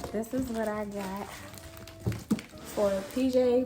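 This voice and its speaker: A woman talks with ordinary pitch variation and a fairly high pitch, with noticeable background noise behind her. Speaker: lifestyle vlogger, mother. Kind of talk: casual vlog talk to camera. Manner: whispering.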